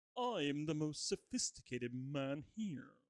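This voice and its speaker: A man performs in a put-on character voice. His pitch is fairly high. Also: moderate pace. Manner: sophisticated, grandiose.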